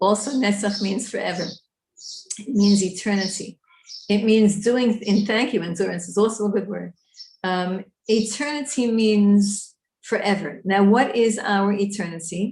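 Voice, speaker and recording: A woman talks with an American accent at a moderate pace. Her voice is somewhat breathy. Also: medium pitch for a woman, fairly even intonation. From New York. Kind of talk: lecture.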